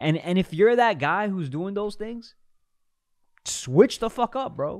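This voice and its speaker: Lively intonation and an animated tone in a New York accent, on a very clean recording with a silent background. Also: man. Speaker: streamer reacting to clips. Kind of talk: reaction commentary. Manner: animated, emphatic.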